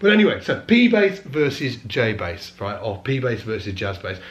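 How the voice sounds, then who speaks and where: Amid audible room echo, a somewhat breathy man speaks at a medium pitch and a moderate pace. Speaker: bass teacher. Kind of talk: casual vlog talk. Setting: studio.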